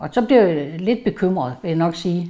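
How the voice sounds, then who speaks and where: This woman's voice has a dark, mellow tone. She talks with lively intonation. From Jutland, Denmark. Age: 70s. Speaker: retired police employee, cancer patient. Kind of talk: personal testimony interview.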